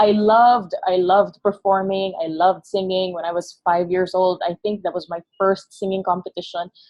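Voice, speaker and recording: A woman with a Filipino accent talks at a moderate pace in a medium pitch. Her intonation is monotone and flat, with hardly any pauses. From Philippines, Negros Occidental. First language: Hiligaynon. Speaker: creative agency founder. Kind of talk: podcast interview. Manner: halting.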